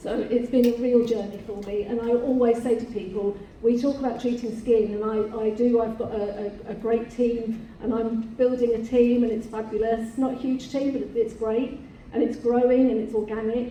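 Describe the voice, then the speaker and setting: Room echo and noticeable background noise surround a woman speaking in a flat monotone at a fairly high pitch. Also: moderate pace. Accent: English. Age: 60s. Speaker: beauty salon owner. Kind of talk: panel discussion.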